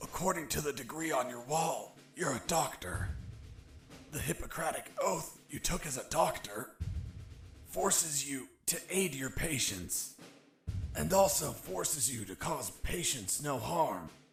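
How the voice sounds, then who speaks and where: A man's put-on character voice, raspy and fairly high, with very wide pitch swings at a fairly slow pace. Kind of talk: hard-boiled voice-over. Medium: video game. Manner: deadpan, wry.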